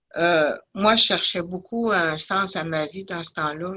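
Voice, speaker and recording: This woman has a fairly low pitch and a bright, sharp tone. She talks at a very slow pace. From Innu community, Côte-Nord, Quebec. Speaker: addiction counsellor. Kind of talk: testimony. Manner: halting, many hesitations.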